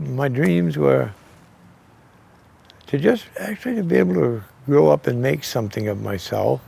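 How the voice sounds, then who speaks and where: A man speaks at a fairly slow pace in a New England accent. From New Hampshire, US (Keene). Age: 60s. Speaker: retired machine company worker. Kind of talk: interview, personal storytelling. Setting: outdoors, in a driveway.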